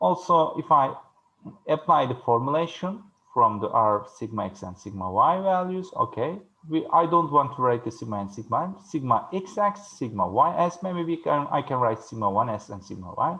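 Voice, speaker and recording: At a moderate pace, a man with a fairly high pitch makes very wide pitch swings and big swings in loudness. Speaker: university lecturer. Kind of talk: lecture. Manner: halting.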